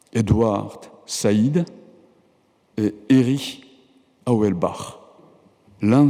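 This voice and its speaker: This man has a dark, mellow tone at a medium pitch, talking at a very slow pace with ordinary pitch variation and long, frequent pauses. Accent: Japanese. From Japan. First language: Japanese (speaking French). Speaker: professor and writer receiving an honorary doctorate. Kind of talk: formal acceptance speech. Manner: formal.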